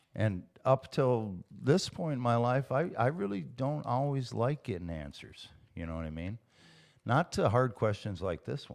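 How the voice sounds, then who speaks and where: With very wide pitch swings and big swings in loudness, a man speaks over a quiet background. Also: medium pitch for a man, moderate pace. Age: 50s. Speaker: recovering alcoholic, house painter. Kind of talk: casual interview about recovery. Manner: halting, many repeated words.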